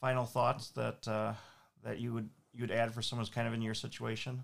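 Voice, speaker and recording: This is a man speaking with an Upper Midwest accent. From Minnesota, St. Paul. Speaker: podcast host and family lawyer. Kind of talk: casual interview. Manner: halting.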